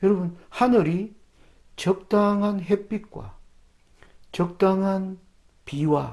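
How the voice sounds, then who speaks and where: Here a man speaks very slowly in a high voice. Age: 60s. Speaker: preacher. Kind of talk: sermon.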